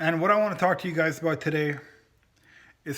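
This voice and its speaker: Ordinary pitch variation marks the voice. It moves at a fairly quick pace. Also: man. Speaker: bushcraft and prepping YouTuber. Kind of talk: casual talk to camera. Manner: passionate, volume rises at times.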